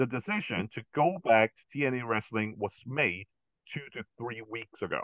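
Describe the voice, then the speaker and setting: A man with an unremarkable speaking voice talks fairly slowly at medium pitch, with ordinary pitch variation. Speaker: podcast co-host. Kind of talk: casual chat.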